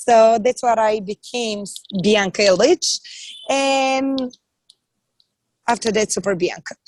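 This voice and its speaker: A woman with a Bulgarian accent speaks at a very slow pace and a fairly high pitch, with ordinary pitch variation and long, frequent pauses, in a dry, close sound with no echo. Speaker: comedian and actress. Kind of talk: podcast interview.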